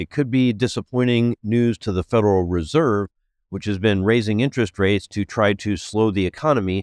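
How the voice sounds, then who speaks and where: A man's fairly low voice, an unremarkable speaking voice, at a fairly quick pace with ordinary pitch variation and a dry, close sound with no echo. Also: quiet background. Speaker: news podcast host, executive editor. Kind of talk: news reading.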